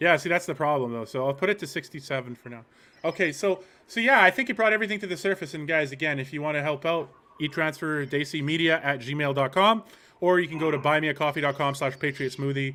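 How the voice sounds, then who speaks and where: A fairly high-pitched man at a very fast pace with ordinary pitch variation. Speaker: political commentary streamer. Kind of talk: live commentary stream. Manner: animated; soft-spoken.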